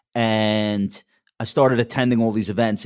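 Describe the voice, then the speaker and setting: The speaker has a Long Island accent and a moderate pace. The recording is very clean, with a silent background. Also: man. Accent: Long Island accent, never trained away. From Long Island, New York. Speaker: wealth manager and TV commentator. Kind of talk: interview.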